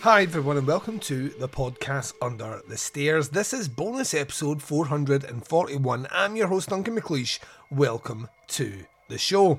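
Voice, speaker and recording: A man speaks with a Scottish accent at a fairly high pitch. His intonation is lively, and there is noticeable background noise. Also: fairly slow pace. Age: 40s. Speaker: podcast host. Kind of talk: casual monologue.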